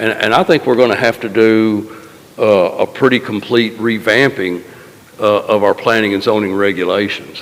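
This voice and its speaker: A man speaks at a medium pitch and a moderate pace. His intonation stays fairly even over noticeable background noise. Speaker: county official. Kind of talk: public meeting discussion. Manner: loud.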